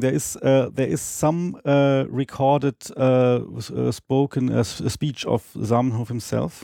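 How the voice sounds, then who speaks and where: With a dark, mellow tone and a medium pitch, a man speaks at a fairly slow pace in a dry, close sound with no echo. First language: not English. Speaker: Esperanto speaker guest. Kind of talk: casual interview on language. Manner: halting with many fillers.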